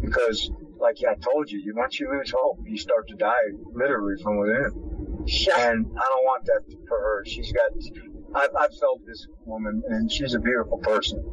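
A man's voice with big swings in loudness over noticeable background noise. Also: moderate pace. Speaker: friend of the guest. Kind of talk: casual chat. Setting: outdoors.

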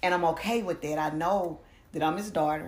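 With audible room echo, a woman speaks at a fairly quick pace in a very deep, low pitch. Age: 40s. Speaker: ordained elder, author and poet. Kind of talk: casual chat.

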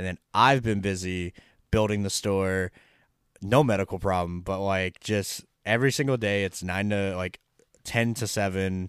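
A man speaks in an ordinary speaking voice, fairly low in pitch and at a moderate pace. His intonation stays fairly even, and the recording is very clean with a silent background. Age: 20s. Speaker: airsoft podcast co-host. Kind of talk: casual chat.

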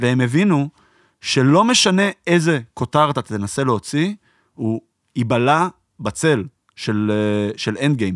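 Lively intonation at a very slow pace, long and frequent pauses, a dry, close sound with no echo, and a very clean recording with a silent background. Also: man, fairly high pitch for a man. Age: 30s. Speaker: podcast host. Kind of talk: casual chat.

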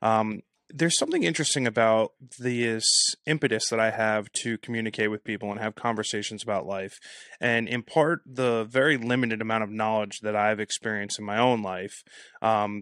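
At a fairly quick pace, a man with an unremarkable speaking voice of medium pitch keeps fairly even intonation, the sound dry and close with no echo. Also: very clean recording, silent background. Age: 30s. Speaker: podcast host. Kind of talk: casual interview.

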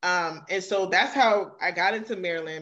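Speaking with a New York accent, a woman uses a medium pitch and ordinary pitch variation at a moderate pace against a quiet background. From New York (Queens). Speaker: author and writing coach. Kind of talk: casual interview.

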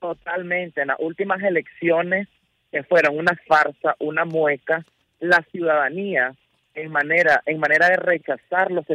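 Speaking fairly slowly with a Nicaraguan accent, a man has a high pitch and a bright, sharp tone, recorded dry and close with no echo. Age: 20s. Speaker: exiled journalist and activist. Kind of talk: radio interview.

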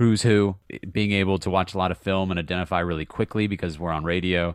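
A very deep, low-pitched man with an American accent on a very clean recording with a silent background. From Virginia, near Charlottesville. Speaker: soccer radio play-by-play announcer. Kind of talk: podcast interview. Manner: hesitant, many fillers.

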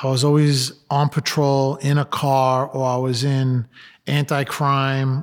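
Speaking with a New York accent, a man uses a fairly high pitch. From Brooklyn, New York. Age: 50s. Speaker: police lieutenant and former helicopter pilot. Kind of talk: interview. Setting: studio.

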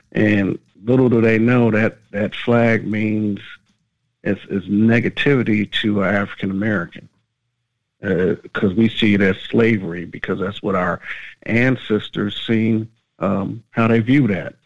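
An ordinary speaking voice from a man, fairly low in pitch, with fairly even intonation at a fairly slow pace. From Brooklyn, New York. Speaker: caller. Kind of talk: call-in opinion.

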